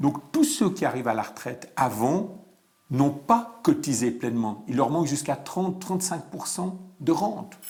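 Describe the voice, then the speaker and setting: Speaking fairly slowly with a Vaud accent, a man uses a fairly high pitch for a man and very wide pitch swings. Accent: Swiss French, Vaud. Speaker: pension expert. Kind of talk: interview.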